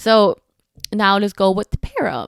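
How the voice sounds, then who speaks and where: A woman with a non-native accent speaks at medium pitch, the sound dry and close with no echo. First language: Spanish. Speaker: podcast host, spinal cord injury survivor. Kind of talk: casual podcast talk. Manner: casual, many fillers.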